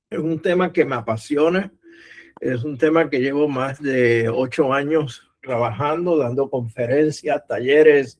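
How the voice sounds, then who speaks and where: A man speaks at a fairly high pitch. His pitch variation is ordinary. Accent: Puerto Rican. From Puerto Rico. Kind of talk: lecture.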